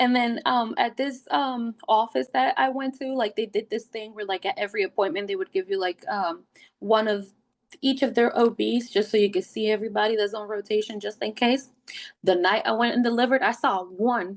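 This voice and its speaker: With ordinary pitch variation, a woman speaks in a fairly high pitch. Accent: Puerto Rican. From Puerto Rico. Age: 30s. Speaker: wellness ambassador, first-time mother. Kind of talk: podcast interview, personal story. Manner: animated storytelling.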